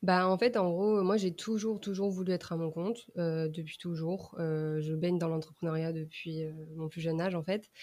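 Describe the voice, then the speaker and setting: A woman speaks with a fairly low pitch and a dark, mellow tone. She keeps a moderate pace with hardly any pauses and fairly even intonation. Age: 20s. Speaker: communication coach. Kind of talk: casual chat. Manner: halting.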